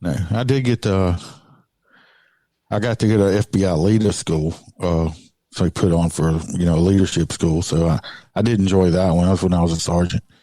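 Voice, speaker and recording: With a Southern US accent, a man speaks in a very deep, low, dark and mellow voice, leaving long, frequent pauses on a very clean recording with a silent background. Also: ordinary pitch variation, very even loudness. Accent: Southern drawl. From Louisiana. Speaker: motorcycle police officer. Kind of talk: interview answer.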